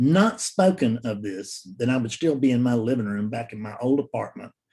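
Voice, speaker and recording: A man with a Southern US accent at medium pitch, moderate pace and ordinary pitch variation, with hardly any pauses. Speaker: spiritual teacher. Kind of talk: solo talk to camera. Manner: halting.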